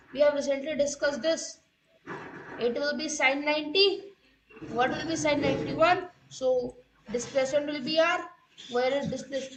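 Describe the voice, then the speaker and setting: A woman with an Indian accent speaks at a high pitch and moderate pace with fairly even intonation. Long, frequent pauses break up her speech, and audible room echo surrounds it. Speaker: online physics teacher. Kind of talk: live-streamed lecture. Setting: live stream with chat.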